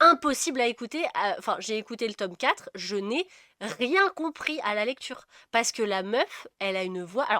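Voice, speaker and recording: Heard in a dry, close sound with no echo, a woman speaks in a bright, sharp tone at a fairly high pitch with very wide pitch swings. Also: moderate pace. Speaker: book podcast co-host. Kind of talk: casual chat.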